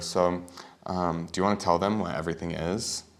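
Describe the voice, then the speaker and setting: A soft-spoken man is talking. His pace is fairly quick. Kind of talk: casual talk to camera.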